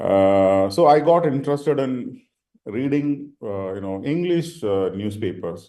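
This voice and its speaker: In a Tamil accent, a man with a dark, mellow tone speaks with very wide pitch swings. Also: medium pitch for a man, fairly slow pace. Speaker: senior leader, panelist. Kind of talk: panel discussion. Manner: halting, many fillers.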